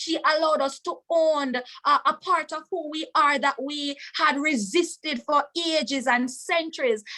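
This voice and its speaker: Projecting her voice, a woman with a Jamaican accent speaks in a high, bright, sharp, passionate tone at a fairly slow pace with hardly any pauses. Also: ordinary pitch variation. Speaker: webinar speaker. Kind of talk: testimony.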